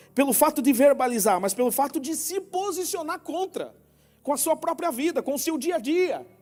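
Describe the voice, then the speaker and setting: Music plays in the background. A man speaks at an extremely high pitch, fairly slowly, with lively intonation. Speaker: preacher. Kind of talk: sermon.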